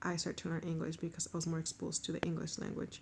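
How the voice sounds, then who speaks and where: A woman speaks very fast in a strong Mexican accent, her pitch fairly low. Her tone is dark and mellow, and somewhat breathy. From Mexico. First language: Spanish. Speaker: language learner. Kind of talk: self-introduction monologue.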